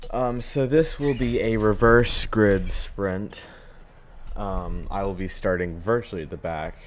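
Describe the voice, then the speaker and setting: With an ordinary speaking voice, a man talks at a fairly slow pace. His pitch is medium and his pitch variation ordinary. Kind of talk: gameplay commentary voiceover. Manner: casual, relaxed.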